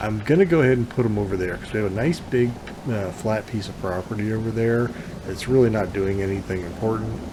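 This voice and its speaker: Noticeable background noise and audible room echo surround a man talking at a very fast pace with a fairly low pitch. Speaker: gaming YouTuber. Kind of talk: let's play commentary. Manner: halting, many fillers.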